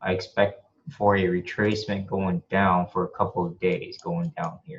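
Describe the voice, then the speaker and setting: The voice is somewhat breathy and moves at a moderate pace. Its pitch swings very widely and its loudness rises and falls in big swings. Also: man, fairly low pitch for a man. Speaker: forex trader. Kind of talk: tutorial. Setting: screen share recording at home.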